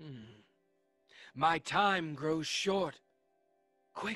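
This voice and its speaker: A put-on character voice at middle pitch comes through with faint music in the background. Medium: audio drama.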